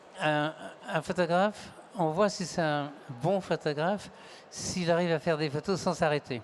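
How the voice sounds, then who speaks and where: Pausing long and often, a man speaks fairly slowly in a high pitch. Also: ordinary pitch variation. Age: 70s. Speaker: photographer. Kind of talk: panel talk.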